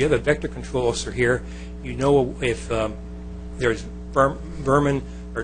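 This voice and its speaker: A man speaks at a very fast pace. Music plays in the background and audible room echo is present. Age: 70s. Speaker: planning commission applicant, retired army officer. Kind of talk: public comment and interview at council meeting. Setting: city council meeting. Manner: formal.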